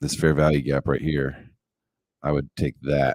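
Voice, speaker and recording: In a relaxed tone, a man with a very deep, low pitch talks at a moderate pace, the sound dry and close with no echo. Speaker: day trader streaming live. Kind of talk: live trading commentary. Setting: live stream. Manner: relaxed, chill.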